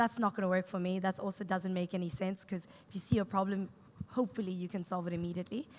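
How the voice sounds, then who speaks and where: This woman talks at a very fast pace in a South African accent, her pitch medium for a woman. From South Africa, Cape Town. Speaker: startup co-founder and CTO. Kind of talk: on-stage interview. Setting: stage with audience.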